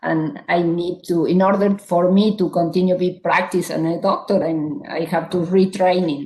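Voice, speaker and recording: A woman's fairly low, dark, mellow voice with an Argentine accent, at a moderate pace with hardly any pauses and fairly even intonation. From Argentina. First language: Spanish. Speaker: psychiatrist. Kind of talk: panel discussion.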